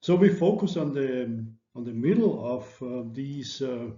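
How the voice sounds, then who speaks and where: A man of medium pitch talks in a somewhat breathy voice with ordinary pitch variation. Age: 60s. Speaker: lecturer. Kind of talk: lecture. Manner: halting.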